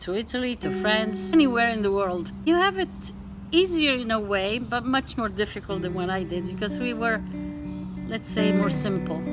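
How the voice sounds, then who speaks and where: At a moderate pace, a woman talks while music sounds in the background. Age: 70s. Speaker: grandmother interviewed about dating. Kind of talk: interview testimony.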